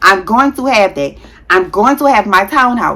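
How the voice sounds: With a bright, sharp tone, a woman talks at a moderate pace using lively intonation.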